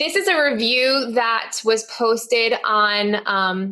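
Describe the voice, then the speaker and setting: An ordinary speaking voice carries lively intonation with an American accent. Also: woman. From US Northeast, Connecticut. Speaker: teacher and podcast host. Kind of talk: webinar presentation. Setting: online webinar.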